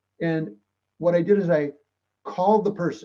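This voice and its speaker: High in pitch, a man's voice carries a dark, mellow tone with ordinary pitch variation. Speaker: public speaker and mediator. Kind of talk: talk to a club. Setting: club meeting. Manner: fast; animated.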